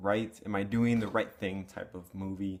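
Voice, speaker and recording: Mumbling, a man talks in a fairly low voice. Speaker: movie reviewer. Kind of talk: casual vlog review. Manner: halting, many fillers.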